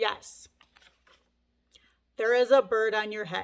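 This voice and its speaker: A woman's put-on character voice at a fairly high pitch. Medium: read story. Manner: bright, matter-of-fact.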